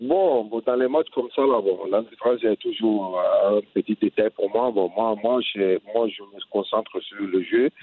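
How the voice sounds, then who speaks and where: Moving at a very slow pace, a man speaks at medium pitch with ordinary pitch variation. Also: hardly any pauses. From Mali. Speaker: retired footballer and coach. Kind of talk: interview. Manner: halting.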